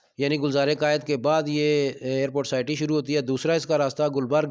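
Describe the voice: At a fairly quick pace, a man speaks with a fairly high pitch and a clear, smooth, slightly mellow tone, with little pitch movement.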